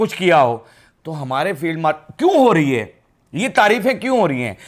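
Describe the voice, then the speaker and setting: Music plays behind a man with a high pitch and an animated tone. His pitch swings very widely. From Pakistan. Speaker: political comedy vlogger. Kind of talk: political commentary vlog to camera. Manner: animated, mocking.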